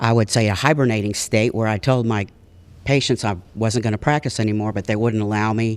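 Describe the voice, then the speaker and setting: This man's fairly low voice carries an American accent at a fairly quick pace. The recording is very clean, with a silent background. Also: fairly even intonation. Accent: Texas Panhandle accent, stronger when tired. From US South, Texas Panhandle (Amarillo). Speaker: chiropractor and speaker. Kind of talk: personal storytelling to an audience. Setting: stage with audience in a library.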